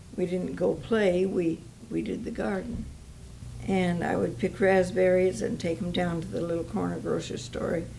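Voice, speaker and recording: A woman keeps a moderate pace while audible room echo lingers around her words. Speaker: Depression-era eyewitness. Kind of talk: oral history interview.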